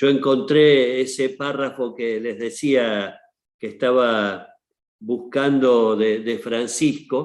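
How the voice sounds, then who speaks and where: A man is speaking. His pace is very slow. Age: 60s. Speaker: archbishop. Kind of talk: panel talk. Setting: online seminar.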